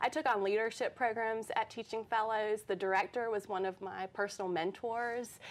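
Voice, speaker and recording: A woman with a normal speaking voice and a fairly high pitch talks at a moderate pace with fairly even intonation and hardly any pauses, in a very clean recording with a silent background. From North Carolina, Durham. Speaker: teacher. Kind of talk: interview. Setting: studio.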